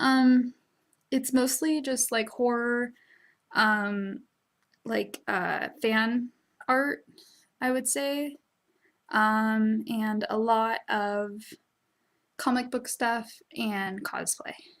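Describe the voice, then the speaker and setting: Very clean and recorded against a silent background, this woman's voice is high-pitched, with ordinary pitch variation. She speaks at a very slow pace with long, frequent pauses. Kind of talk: casual talk to camera. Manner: casual, hesitant.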